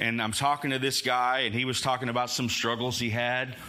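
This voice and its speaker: A man with a medium pitch speaks fairly quickly amid noticeable background noise and audible room echo. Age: 50s. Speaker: pastor. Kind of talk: sermon. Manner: loud.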